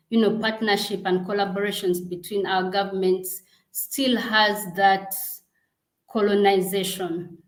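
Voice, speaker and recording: Amid audible room echo, a woman speaks at a fairly slow pace in a monotone, flat voice at medium pitch. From Uganda. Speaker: global health program director. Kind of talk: interview.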